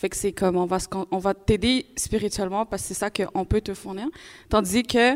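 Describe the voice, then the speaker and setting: Speaking at a fairly quick pace, a woman with a normal speaking voice keeps a medium pitch and ordinary pitch variation. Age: young. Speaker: university student. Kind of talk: live panel discussion. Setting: live event with audience.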